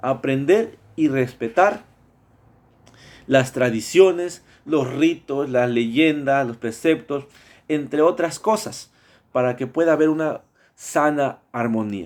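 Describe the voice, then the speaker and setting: On a very clean recording with a silent background, a man speaks at a fairly high pitch. He goes very slowly, with long, frequent pauses. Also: ordinary pitch variation. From Mexico, Veracruz. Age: 30s. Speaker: student. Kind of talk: class presentation. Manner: halting, many fillers and repetitions.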